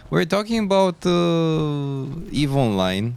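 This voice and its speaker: A man speaks with a non-native accent. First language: not English. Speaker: video game streamer. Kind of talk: live gameplay stream chat. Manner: casual, halting with fillers.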